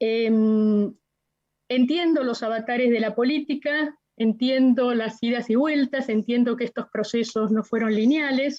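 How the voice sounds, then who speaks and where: A woman with a high-pitched, dark and mellow voice speaks at a fairly slow pace with fairly even intonation. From Argentina, La Plata. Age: 60s. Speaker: witness, human rights activist. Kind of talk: court testimony.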